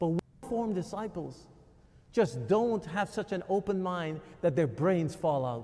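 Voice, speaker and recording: Lively intonation marks a man's dark, mellow tone, pitched high for a man and delivered at a fairly slow pace. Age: 50s. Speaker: pastor. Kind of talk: sermon. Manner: conversational.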